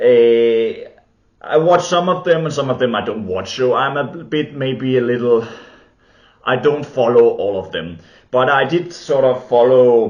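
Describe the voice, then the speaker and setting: A medium-pitched man with a Danish accent, lively intonation and a fairly slow pace, plus audible room echo. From Denmark. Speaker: film and TV video maker. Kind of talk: unscripted monologue. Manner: halting, many fillers.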